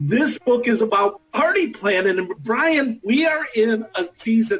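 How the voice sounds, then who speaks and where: A man's high voice with a Buffalo accent. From Buffalo, New York. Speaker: radio host. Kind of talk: radio interview.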